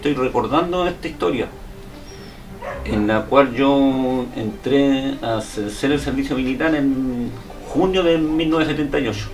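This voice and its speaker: A man's medium-pitched voice with audible room echo and noticeable background noise. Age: 60s. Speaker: war veteran. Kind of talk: interview. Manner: halting.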